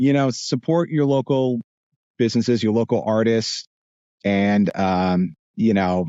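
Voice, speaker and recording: With a New Jersey accent, a man of medium pitch talks at a fairly slow pace with long, frequent pauses, very even loudness and ordinary pitch variation. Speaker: voice actor. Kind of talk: podcast interview. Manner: hesitant, many fillers.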